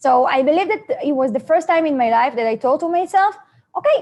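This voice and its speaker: A woman with an Israeli accent, lively intonation and a moderate pace. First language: Hebrew. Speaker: network marketing presenter. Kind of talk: seminar presentation. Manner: halting.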